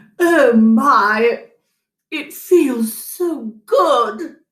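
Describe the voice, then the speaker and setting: A female-sounding put-on character voice is pitched high. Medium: read story. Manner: sly, gushing.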